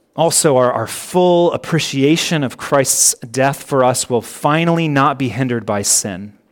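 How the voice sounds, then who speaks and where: With hardly any pauses, a man with a fairly high pitch talks at a fairly slow pace and with ordinary pitch variation. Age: 30s. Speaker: pastor. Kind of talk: sermon. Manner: halting.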